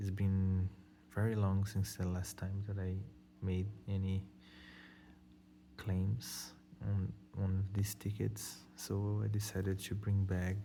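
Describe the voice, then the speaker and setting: Over noticeable background noise, a man with a Brazilian accent and a fairly low voice talks at a very slow pace with long, frequent pauses. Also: fairly even intonation. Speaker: scratch-off lottery video host. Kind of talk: casual talk to camera.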